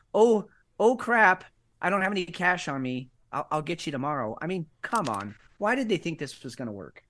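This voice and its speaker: A man with an American accent speaks at a fairly quick pace, high in pitch with lively intonation, over a quiet background. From United States. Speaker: podcast co-host. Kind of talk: casual chat. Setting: studio.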